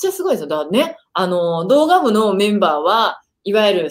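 Against a quiet background, a woman talks at a fairly quick pace and a fairly high pitch, her tone animated and her pitch swinging very widely. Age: 30s. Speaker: online video marketing coach and live-stream host; online video marketing coach, live-stream host. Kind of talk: casual live-stream chat. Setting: live stream video call. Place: home room.

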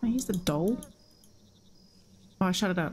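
With faint music playing in the background, a woman talks in an Australian accent. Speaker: game streamer. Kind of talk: live gameplay commentary. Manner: casual, animated. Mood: frustrated, amused. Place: home room. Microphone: headset.

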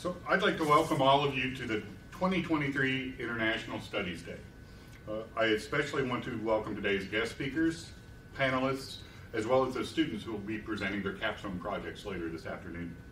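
Light background noise and audible room echo surround a man of medium pitch who speaks at a fairly quick pace. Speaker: university administrator. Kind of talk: formal opening remarks. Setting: stage with audience. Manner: formal. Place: hall. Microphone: podium.

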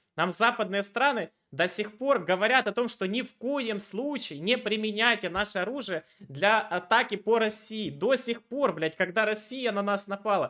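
Over a quiet background, a man uses a raised, projected voice that is high-pitched with a bright, sharp tone, speaking at a fairly slow pace with hardly any pauses and ordinary pitch variation. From Ukraine, Dnipro; Ukraine. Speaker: video chat debater and channel host; video chat debater, channel host. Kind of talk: argumentative debate with a stranger. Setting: random video chat. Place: home room. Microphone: headset.

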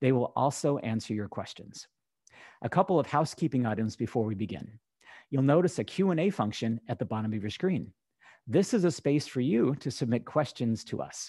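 Against a quiet background with dry sound and no echo, a man at a medium pitch talks at a moderate pace in a dark, mellow tone with lively intonation. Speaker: communications director of advocacy organization. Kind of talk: scripted webinar introduction. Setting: video call. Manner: formal. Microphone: video call.

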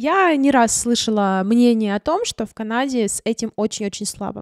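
A woman's fairly high voice with ordinary pitch variation, at a moderate pace, dry with no echo, over a quiet background. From Ukraine, Crimea (Simferopol); Crimea, Ukraine. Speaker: vlogger and photographer; vlogger. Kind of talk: vlog monologue. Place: home room. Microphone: studio mic.

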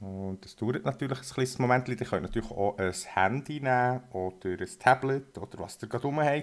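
A man of medium pitch with a Swiss accent. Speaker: electronics hobbyist / shop presenter. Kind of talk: tutorial. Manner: casual.

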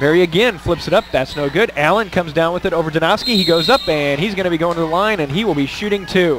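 With a high pitch for a man and ordinary pitch variation, this man talks at a very fast pace with hardly any pauses, his dry sound with no echo set against noticeable background noise. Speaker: play-by-play radio announcer. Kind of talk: live commentary. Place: hall.

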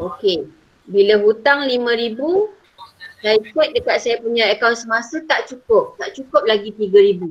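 Speaking at a fairly slow pace, a woman has an unremarkable speaking voice, fairly high in pitch with ordinary pitch variation. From Malaysia. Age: 40s. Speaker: secondary school teacher. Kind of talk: online lesson. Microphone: video call.

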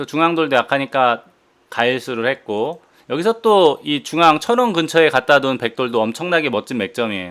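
A man's voice at a moderate pace, with very wide swings in pitch. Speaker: professional go player and commentator. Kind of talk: game commentary.

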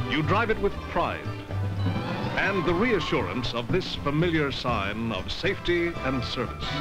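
Clear music plays in the background as a man speaks at a fairly slow pace. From Canada. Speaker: voice-over narrator. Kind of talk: TV commercial read. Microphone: old recording.

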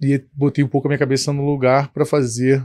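A man's voice against a quiet background. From Brazil, Petrópolis (Rio de Janeiro state); Rio de Janeiro state, Brazil. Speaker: company founder, engineer; guest. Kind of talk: interview. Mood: calm, reflective storytelling. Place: studio. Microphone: studio mic.

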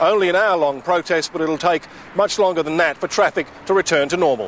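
Speaking fairly quickly with an Australian accent, a man uses a high voice with ordinary pitch variation, the sound dry with no echo and light background noise behind him. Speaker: TV news reporter. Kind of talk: news reporting, live TV report. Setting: outdoors, on location live cross. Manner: formal, brisk, authoritative; clipped broadcast delivery with wry, sarcastic edge. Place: waterside.

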